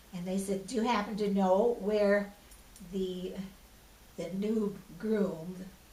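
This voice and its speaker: Speaking very slowly in a flat monotone with long, frequent pauses, a woman with an American accent holds a medium pitch amid audible room echo. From US Pacific Northwest. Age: 80s+. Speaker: oral history interviewee. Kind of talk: oral history interview.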